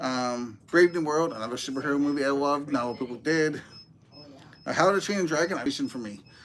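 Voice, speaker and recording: Over noticeable background noise, a man talks at a very fast pace in a fairly high voice with ordinary pitch variation. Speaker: movie reviewer. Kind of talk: casual chat.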